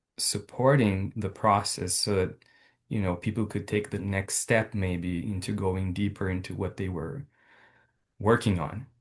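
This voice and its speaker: With a non-native accent, the speaker talks at a fairly slow pace in a somewhat breathy voice. Intonation stays fairly even over a quiet background. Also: man, fairly low pitch for a man. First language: not English. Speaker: doctoral program participant. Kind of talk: casual chat.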